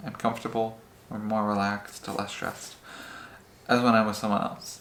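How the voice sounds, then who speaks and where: A man talks at a medium pitch while noticeable background noise runs underneath. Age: 20s. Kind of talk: interview answer.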